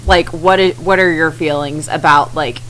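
Against noticeable background noise, a woman talks with a very deep, low pitch. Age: 20s. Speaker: podcast co-host. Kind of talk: casual chat.

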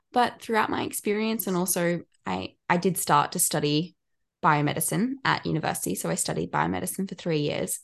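A woman's fairly quick speech with an Australian accent. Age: 20s. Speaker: mental health worker and student. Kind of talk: podcast interview.

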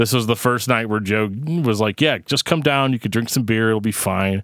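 A man speaks in an unremarkable speaking voice at a medium pitch, with ordinary pitch variation. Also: very clean recording, silent background. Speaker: podcast host. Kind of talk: casual interview chat.

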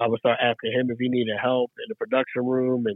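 This is a man talking. His pitch sits at a medium level. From South Jersey, Philadelphia area. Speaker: radio host. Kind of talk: casual interview chat.

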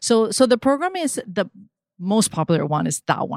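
Recorded very cleanly against a silent background, a woman with a Spanish accent speaks in a dry, close sound with no echo. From Venezuela. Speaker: digital marketing consultant. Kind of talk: casual interview.

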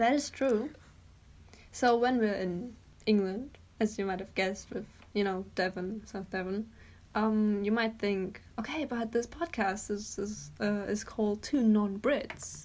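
A woman with a German accent speaks at a fairly high pitch and a fairly slow pace. Her pitch variation is ordinary. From Germany. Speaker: podcast co-host. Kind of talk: casual chat.

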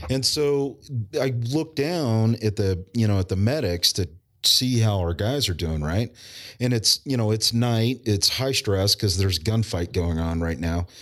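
Fairly slow and with lively intonation, a man with a plain, everyday voice and fairly low pitch speaks on a very clean recording with a silent background. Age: 40s. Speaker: emergency preparedness business owner and military veteran. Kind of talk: casual interview conversation. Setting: in-person recording at guest's business.

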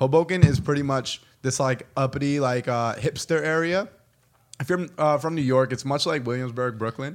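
A man talks at a moderate pace in a fairly high pitch with ordinary pitch variation. He has a plain, everyday voice. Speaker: podcast host. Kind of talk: casual chat.

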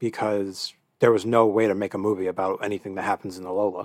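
Speaking at a very fast pace, a man uses a fairly low pitch and a monotone, flat intonation. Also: very clean recording, silent background. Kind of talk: casual chat.

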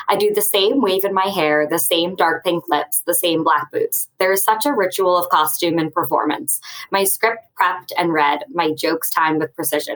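With a normal speaking voice, a woman talks at a fairly low pitch and a moderate pace, with ordinary pitch variation, very even loudness and hardly any pauses. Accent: American. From US Northeast, Westchester County near New York City. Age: 20s. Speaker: author. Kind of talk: casual chat.

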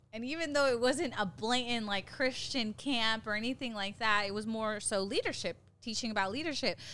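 A woman talks in a bright, sharp, animated tone at a fairly high pitch with ordinary pitch variation. She keeps a fairly quick pace with hardly any pauses. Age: 20s. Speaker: mentor and small business owner. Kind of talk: casual chat.

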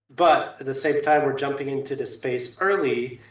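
Audible room echo surrounds a man talking with fairly even intonation. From Canada. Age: 30s. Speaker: crypto gaming advocate. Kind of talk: casual chat.

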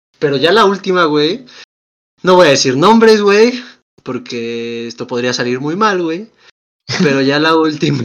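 At a fairly slow pace with long, frequent pauses, a man with a Mexican accent speaks at a fairly high pitch with very wide pitch swings. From Mexico. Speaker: podcast co-host. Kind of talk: casual chat.

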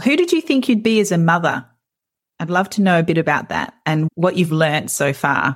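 With an Australian accent, a woman talks at a fairly quick pace. Her pitch is fairly low and her intonation lively. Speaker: podcast host, counsellor. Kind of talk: casual interview chat.

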